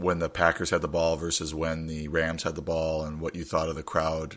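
A gravelly man with an extremely low pitch, a bright, sharp tone and a fairly quick pace

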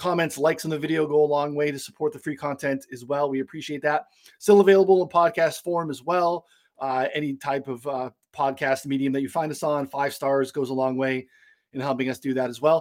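A man's unremarkable speaking voice, fairly high and fairly even, at a fairly quick pace on a very clean recording with a silent background. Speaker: podcast host. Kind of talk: casual sports betting discussion.

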